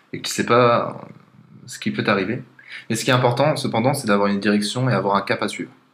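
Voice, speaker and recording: Over noticeable background noise, a man talks at a very fast pace yet leaves long, frequent pauses. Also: medium pitch for a man, ordinary pitch variation. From southern France, Aix-en-Provence. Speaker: podcast guest, former coding bootcamp classmate. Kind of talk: casual interview conversation.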